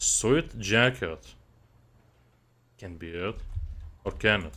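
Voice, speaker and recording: Spoken at a very slow pace with a Lithuanian accent, the voice has a bright, sharp tone and lively intonation. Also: man, fairly low pitch for a man. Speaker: gaming streamer. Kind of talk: live gameplay commentary. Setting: live stream.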